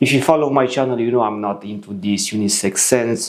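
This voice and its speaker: The speaker is a man. He has a Romanian accent. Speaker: fragrance reviewer. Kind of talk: product review.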